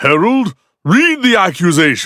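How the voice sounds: A man speaks in a cartoonish character voice, high-pitched and at a fairly slow pace. The recording is very clean, with a silent background.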